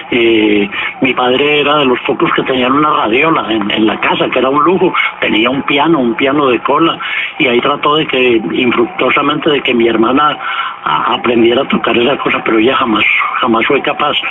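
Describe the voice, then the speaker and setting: With music in the background, a man talks at a moderate pace and fairly high pitch, with ordinary pitch variation and very even loudness. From Colombia, Pereira. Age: 70s. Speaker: writer and journalist. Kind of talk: radio interview.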